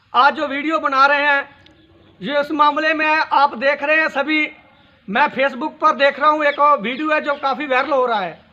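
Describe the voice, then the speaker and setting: In a raised, projected voice with a Punjabi accent, a man speaks with an extremely high pitch, a bright, sharp tone and fairly even intonation. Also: moderate pace. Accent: Punjabi-accented Hindi. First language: Punjabi (speaking Hindi). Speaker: social media commentator. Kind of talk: video monologue on current affairs. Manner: halting.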